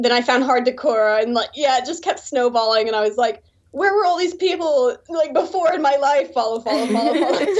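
Speaking at a fairly quick pace with hardly any pauses, a woman with a Texan accent uses a high pitch and lively intonation. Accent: Texan American English. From Texas, US. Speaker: YouTuber and doll customizer. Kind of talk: casual interview.

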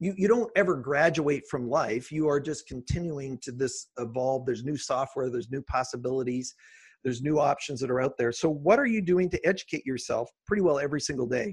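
A somewhat breathy man with a fairly high pitch talks at a fairly quick pace, with hardly any pauses and ordinary pitch variation. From rural farming community. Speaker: entrepreneur and consultant. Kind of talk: interview. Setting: home office.

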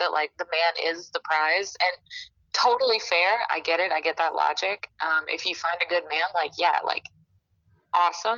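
A woman with a Southern US accent talks at a moderate pace, her pitch fairly low and her intonation fairly even. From Alabama. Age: 20s. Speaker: podcast guest. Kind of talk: casual chat.

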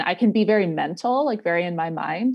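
A woman speaks with an American accent. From US Northeast, Rhode Island. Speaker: spiritual mentor and yoga teacher. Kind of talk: casual interview.

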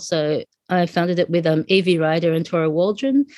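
A woman's fairly low voice with an Australian accent against a quiet background. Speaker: sociologist and skateboarding community organizer. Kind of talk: interview.

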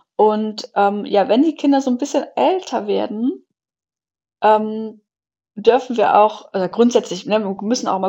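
Her voice is fairly high in pitch, and this woman has a dark, mellow tone. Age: 30s. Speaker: family coach in training and mother. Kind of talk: podcast interview.

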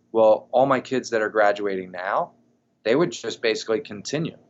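This man has an unremarkable speaking voice, pitched at a medium level for a man and delivered at a moderate pace. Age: 30s. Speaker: college strength and conditioning coach. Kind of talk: casual interview.

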